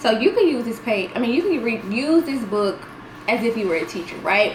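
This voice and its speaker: A woman's fairly high voice with lively intonation at a fairly quick pace, amid noticeable background noise and audible room echo. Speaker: homeschool mom and tutor vlogger. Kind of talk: casual tutorial video.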